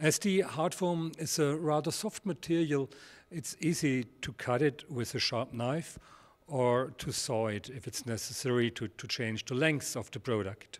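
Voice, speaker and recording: On a very clean recording with a silent background, a man with a German accent speaks fairly slowly at a medium pitch, using lively intonation. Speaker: product presenter for a model landscape manufacturer. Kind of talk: product presentation. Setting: studio. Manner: halting, frequent repetitions.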